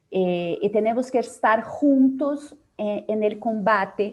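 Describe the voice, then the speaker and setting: With a Portuguese accent, a woman speaks at a very slow pace and a fairly high pitch. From Brazil. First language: Portuguese (speaking Spanish). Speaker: psychologist, organization leader. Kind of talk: conference Q&A. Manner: halting, many fillers.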